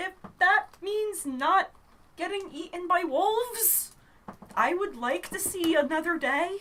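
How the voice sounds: Using a put-on character voice, a woman speaks at an extremely high pitch and a fairly slow pace.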